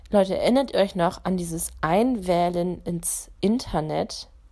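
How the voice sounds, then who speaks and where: A woman with a medium pitch and a dark, mellow tone speaks at a very slow pace in a very clean recording with a silent background. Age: 20s. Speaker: podcast host. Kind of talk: casual monologue.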